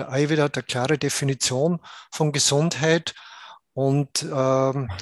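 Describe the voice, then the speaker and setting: A man speaks at a fairly slow pace in a plain, everyday voice, fairly high in pitch, with fairly even intonation, and the sound is dry and close with no echo over a quiet background. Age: 60s. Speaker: Ayurveda doctor. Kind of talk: interview.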